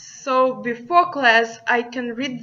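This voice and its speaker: This voice carries a Russian accent. Its tone is bright and sharp. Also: woman. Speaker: student. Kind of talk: class presentation.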